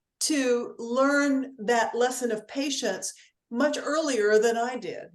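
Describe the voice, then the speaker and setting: Speaking at a very slow pace, a woman's voice sits at a high pitch. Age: 70s. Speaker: energy healing teacher. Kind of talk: live stream talk with interpreter.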